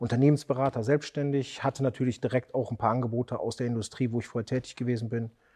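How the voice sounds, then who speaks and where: In a quiet background, a man talks at a medium pitch with fairly even intonation, the sound dry and close with no echo. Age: 40s. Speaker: custom motorcycle builder, entrepreneur. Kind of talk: interview.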